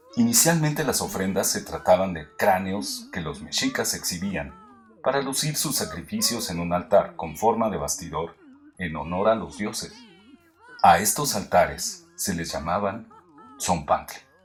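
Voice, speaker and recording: Music in the background behind a man's fairly low-pitched voice, fairly slow in pace, with very wide pitch swings. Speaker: narrator. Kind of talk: educational history narration.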